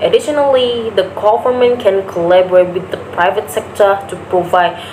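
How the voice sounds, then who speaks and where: Over noticeable background noise, a woman with an Indonesian accent speaks at medium pitch and a moderate pace. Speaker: university student. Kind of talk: class speech presentation. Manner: halting, with self-corrections.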